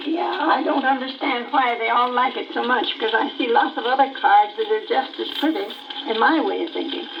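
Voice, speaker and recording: A woman speaks at a fairly quick pace in a high voice with very wide pitch swings, over noticeable background noise. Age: 80s+. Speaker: painter. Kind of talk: radio interview answer.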